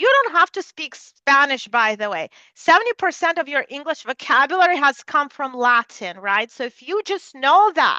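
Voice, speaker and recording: A raised, projected voice with a bright, sharp tone and a Russian accent runs at a moderate pace with hardly any pauses. Its pitch swings very widely, and the sound is dry and close with no echo. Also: woman, high pitch for a woman. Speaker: neuroscience researcher. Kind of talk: lecture.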